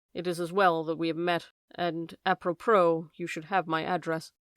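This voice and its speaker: A put-on character voice, husky and middle-pitched, with monotone, flat intonation at a moderate pace, on a very clean recording with a silent background. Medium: read story. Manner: hoarse and furtive.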